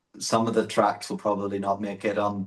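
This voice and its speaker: With a Northern Irish accent, a man speaks at a fairly quick pace in a monotone, flat intonation and a fairly low pitch. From Northern Ireland. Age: 20s. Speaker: electronic music artist. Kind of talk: interview. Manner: halting.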